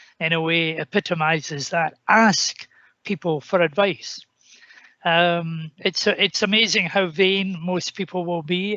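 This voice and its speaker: Fairly even in intonation, a man with a Scottish accent speaks at a high pitch. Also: fairly slow pace. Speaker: senior politician. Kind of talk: panel discussion remarks.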